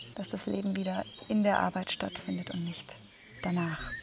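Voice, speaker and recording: A woman at a moderate pace, amid noticeable background noise. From Munich, Bavaria. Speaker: doctor and festival participant. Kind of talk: casual interview.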